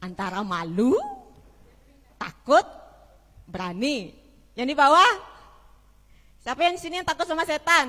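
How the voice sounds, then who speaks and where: A woman with a Balinese accent speaks in a high, raised and projected voice, her pitch swinging very widely in an animated tone. She talks at a fairly slow pace with long, frequent pauses over noticeable background noise. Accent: Balinese accent showing. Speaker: pastor. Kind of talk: sermon. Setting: church service with congregation, streamed online. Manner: loud, projecting to congregation; animated, conversational.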